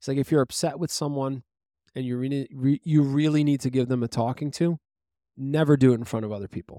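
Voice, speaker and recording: At a very fast pace, a man with a New York accent speaks in a fairly high, dark, mellow voice with fairly even intonation, recorded very cleanly against a silent background with a dry, close sound and no echo. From Brooklyn, New York. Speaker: podcast co-host. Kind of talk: casual chat.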